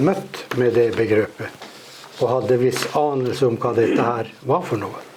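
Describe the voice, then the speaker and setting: Through audible room echo and noticeable background noise, a man with a medium pitch speaks at a fairly slow pace. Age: old. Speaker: interviewer. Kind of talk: interview on stage.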